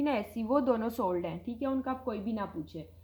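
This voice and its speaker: Her fairly high voice rises and falls in an ordinary way as the woman talks. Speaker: online clothing seller. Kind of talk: sales pitch. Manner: loud. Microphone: viewers say audio too quiet.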